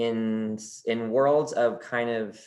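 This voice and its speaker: Against a quiet background, a man speaks at medium pitch. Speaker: college admissions officer. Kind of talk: webinar presentation. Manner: fast; animated.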